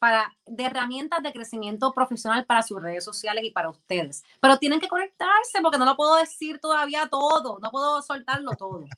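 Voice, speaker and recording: A woman speaks in a raised, projected voice, high in pitch and bright and sharp in tone, her pitch swinging very widely. She talks at a fairly quick pace with hardly any pauses, and the sound is dry and close with no echo. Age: 30s. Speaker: influencer and former dancer and model. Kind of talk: interview.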